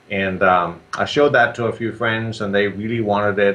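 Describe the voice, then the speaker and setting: With a Danish accent, a man speaks at a fairly quick pace in a fairly low, monotone, flat voice. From Denmark. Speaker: software entrepreneur and Amazon seller. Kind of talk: interview. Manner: halting with many fillers.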